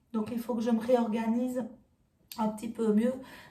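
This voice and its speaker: A woman with a fairly high pitch and a dark, mellow tone speaks at a moderate pace, somewhat breathy, in a monotone, flat intonation. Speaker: sewing YouTuber. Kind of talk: casual vlog talk to viewers. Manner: hesitant, many fillers.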